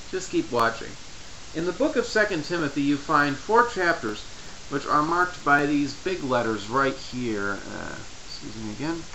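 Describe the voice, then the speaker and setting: A man at a moderate pace, pitch swinging very widely, amid noticeable background noise. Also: fairly high pitch for a man. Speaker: Bible study tutorial maker. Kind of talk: tutorial talk to camera. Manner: stutters.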